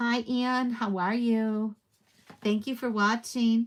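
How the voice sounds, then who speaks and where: Her voice is fairly high-pitched. The woman speaks at a very slow pace. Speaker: paper crafter and stamp demonstrator. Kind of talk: live craft tutorial. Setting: livestream. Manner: quiet; casual, with fillers.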